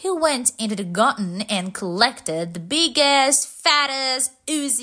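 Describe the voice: The clip consists of plain reading aloud.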